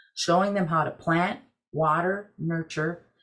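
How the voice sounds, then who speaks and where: The background is quiet. A woman speaks in a somewhat breathy voice. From Wisconsin, Ojibwe community. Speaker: Native tobacco program director, army veteran; presenter. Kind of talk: webinar presentation. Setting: video call.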